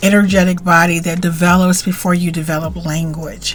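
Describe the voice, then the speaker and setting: Over music in the background, a woman talks at a moderate pace and a medium pitch. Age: 50s. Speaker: spiritual teacher and author. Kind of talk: casual talk to camera. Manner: warm, chatty.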